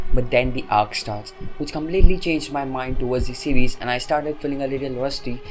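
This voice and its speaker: With music in the background, a man talks at a fairly quick pace in a fairly high pitch, keeping his intonation fairly even. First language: not English. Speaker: anime reviewer. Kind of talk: opinionated review. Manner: casual, exasperated.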